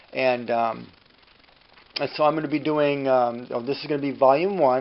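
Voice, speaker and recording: Through noticeable background noise, a man talks fairly quickly with a fairly high pitch and fairly even intonation. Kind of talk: casual monologue. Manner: fast.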